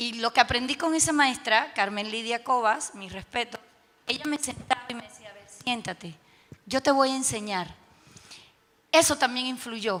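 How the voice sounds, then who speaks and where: A woman speaks at a moderate pace in a high pitch with ordinary pitch variation, big swings in loudness, and long, frequent pauses. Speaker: teacher and teacher trainer. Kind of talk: panel discussion.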